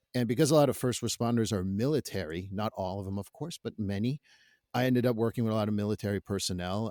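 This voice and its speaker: A man with a Quebec accent at a fairly low pitch and fairly quick pace, ordinary pitch variation, a dry, close sound with no echo and a very clean recording with a silent background. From Quebec, Canada. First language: French. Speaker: therapist. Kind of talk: podcast interview.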